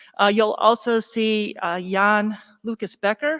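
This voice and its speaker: A plain, everyday voice in an American accent, with fairly even intonation, comes through a very clean recording with a silent background and a dry, close sound with no echo. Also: woman. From northern US. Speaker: university athletics administrator. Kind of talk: staff meeting presentation.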